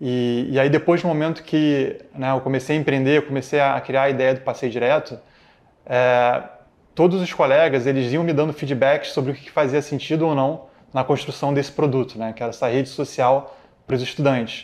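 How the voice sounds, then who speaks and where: Intonation stays fairly even while the speech moves at a moderate pace. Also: man, fairly high pitch for a man. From Rio de Janeiro, Brazil. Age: 30s. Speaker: tech executive and alumnus. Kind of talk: interview testimony. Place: studio. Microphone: lapel.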